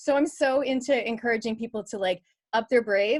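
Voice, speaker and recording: A plain, everyday voice with a Canadian accent moves at a fairly quick pace with ordinary pitch variation. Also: woman. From Canada. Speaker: business coach and podcaster. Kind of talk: panel discussion at online book launch.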